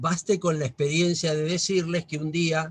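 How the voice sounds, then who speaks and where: A man with an ordinary speaking voice, fairly high in pitch, at a moderate pace. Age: 60s. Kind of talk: talk to a religious group.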